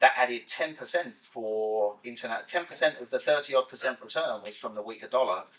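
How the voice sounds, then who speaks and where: In a British accent, the speaker moves at a fairly quick pace with hardly any pauses and big swings in loudness. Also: man. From UK. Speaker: investment portfolio specialist. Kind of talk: podcast interview.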